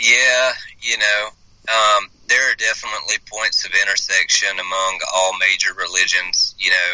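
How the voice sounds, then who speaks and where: A man speaks with a Southern US accent at a moderate pace. His loudness stays very even, and there is noticeable background noise. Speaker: hospice chaplain. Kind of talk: interview.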